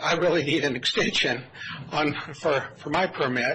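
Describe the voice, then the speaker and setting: Noticeable background noise sits behind a man's fairly high voice. His intonation stays fairly even. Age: 60s. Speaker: resident speaking at public comment. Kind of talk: public comment at county meeting. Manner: halting, many fillers.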